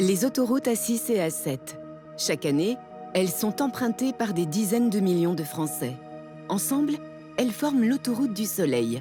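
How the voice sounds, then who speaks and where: With music in the background, a woman speaks with very wide pitch swings, very even loudness and long, frequent pauses. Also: medium pitch for a woman, moderate pace. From France. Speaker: voice actor. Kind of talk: documentary narration.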